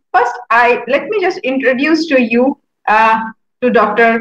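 With audible room echo, a woman talks at a fairly slow pace in a high pitch and a bright, sharp tone, with ordinary pitch variation. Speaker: show host. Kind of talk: interview show introduction. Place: home room. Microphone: webcam.

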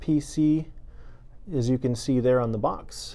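A man talks at a fairly slow pace with fairly even intonation. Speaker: real estate agent reviewing a microphone. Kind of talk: product review. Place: office. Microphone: lapel.

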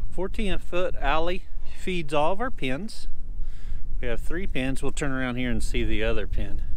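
The sound is dry with no echo, over light background noise. The speech moves at a fairly slow pace. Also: man. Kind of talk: casual tour commentary. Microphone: phone near.

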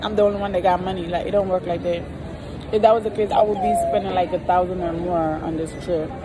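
Crowd noise fills the background as a woman speaks with ordinary pitch variation. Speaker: vlogger. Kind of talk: casual vlog chat. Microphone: phone near.

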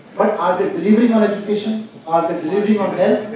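Strong room echo and light background noise surround a man speaking at a high pitch with ordinary pitch variation. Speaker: guest. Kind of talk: Q&A answer. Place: hall.

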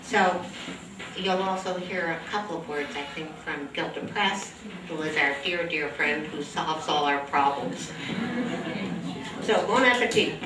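A woman speaks at a fairly slow pace with ordinary pitch variation and long, frequent pauses, amid audible room echo and noticeable background noise. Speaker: event host. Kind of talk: event announcement. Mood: warm, cheerful. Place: hall.

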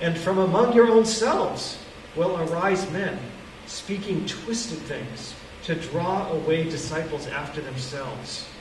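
There is audible room echo as a man speaks. Light background noise sits under his voice. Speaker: preacher. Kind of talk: scripture reading then sermon. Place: hall. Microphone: camera far.

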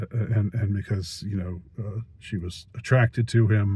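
A somewhat breathy man with an American accent, fairly low in pitch, at a very slow pace with fairly even intonation, in a dry sound with no echo and a quiet background. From United States. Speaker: youtuber, film reviewer. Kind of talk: monologue film review. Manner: halting, many fillers and repetitions. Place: car. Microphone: phone near.

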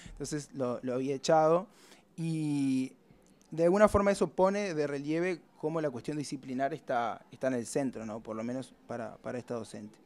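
Ordinary pitch variation at a moderate pace. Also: man, fairly high pitch for a man. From Uruguay. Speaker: researcher; presenter. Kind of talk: conference talk. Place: meeting room. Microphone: podium.

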